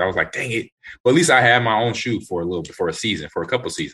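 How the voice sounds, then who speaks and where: Here a man speaks with an American accent. His tone is bright and sharp, and his intonation is lively. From Los Angeles. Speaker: retired football player. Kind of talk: casual chat.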